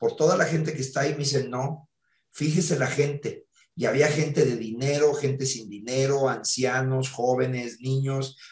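Somewhat breathy and fairly high, a man's voice moves at a moderate pace with fairly even intonation. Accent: Mexican. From Mexico. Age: 60s. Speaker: theatre actor and producer. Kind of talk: interview.

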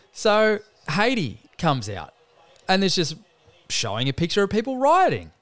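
A man with an Australian accent speaks in a high voice, his pitch swinging very widely. His pace is moderate, broken by long, frequent pauses. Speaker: podcast host, sports talk. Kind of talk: casual banter about sport.

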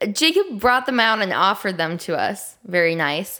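A woman speaks at a moderate pace in a nasal, bright and sharp voice of medium pitch, her pitch swinging widely.

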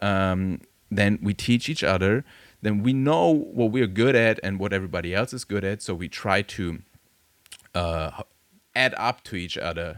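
A man speaks in a fairly low voice with a German accent. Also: ordinary pitch variation, moderate pace. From Germany. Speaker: tattoo studio owner. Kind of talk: casual chat.

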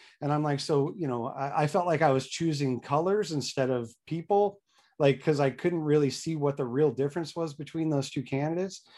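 A man talks at a fairly quick pace in a fairly high voice. His tone is dark and mellow, with ordinary pitch variation. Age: 40s. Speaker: congressional candidate. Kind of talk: interview. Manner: halting, many fillers.

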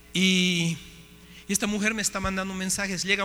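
The voice is raised and projected. Its intonation stays fairly even. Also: man. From Bolivia. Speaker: missionary speaker. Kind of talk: sermon.

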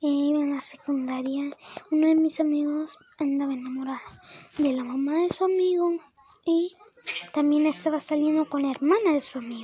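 With noticeable background noise behind her, a woman speaks at a high pitch and a moderate pace, showing ordinary pitch variation and long, frequent pauses. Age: 20s. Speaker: podcaster. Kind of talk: casual monologue. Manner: rambling, halting.

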